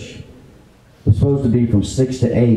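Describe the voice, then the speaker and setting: A man with an American accent speaks in a plain, everyday voice. His intonation stays fairly even. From Fredericksburg, Virginia, USA. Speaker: auctioneer giving a tribute speech. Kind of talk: heartfelt tribute speech to a live audience.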